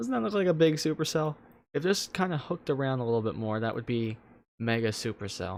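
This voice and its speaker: A man with a New Jersey accent, medium pitch, lively intonation and a very fast pace, on a very clean recording with a silent background. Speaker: weather livestreamer. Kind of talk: live weather commentary. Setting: livestream. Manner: animated.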